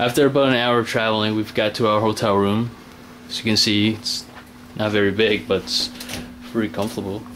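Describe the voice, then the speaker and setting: With light background noise behind him, a man at a fairly low pitch talks at a fairly quick pace, keeping his intonation fairly even and leaving long, frequent pauses. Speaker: tourist filming video diary. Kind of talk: casual vlog narration to camera. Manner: monotone. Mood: relaxed, lightly amused. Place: home room. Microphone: phone near.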